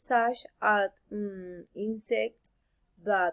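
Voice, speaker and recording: Intonation here is fairly even. The voice carries a Spanish accent. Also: woman. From Colombia. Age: 20s. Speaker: university student. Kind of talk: class presentation. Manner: halting, self-correcting.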